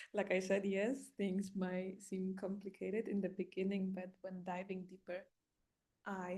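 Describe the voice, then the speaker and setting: In a Polish accent, a woman with a medium pitch and a dark, mellow tone speaks in a monotone, flat way at a moderate pace. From Poland. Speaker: life coach and spiritual guide. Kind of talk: casual monologue. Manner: halting with fillers.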